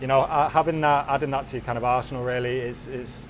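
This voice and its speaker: Over noticeable background noise, a man at a medium pitch talks at a fairly quick pace with monotone, flat intonation. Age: 20s. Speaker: professional footballer. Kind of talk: post-match interview. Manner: halting.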